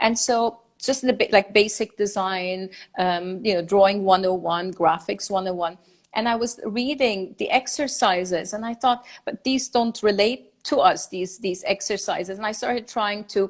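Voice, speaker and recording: Moderate pace and ordinary pitch variation in a woman's medium-pitched voice. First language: German and Farsi. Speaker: designer and lecturer. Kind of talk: interview conversation. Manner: halting.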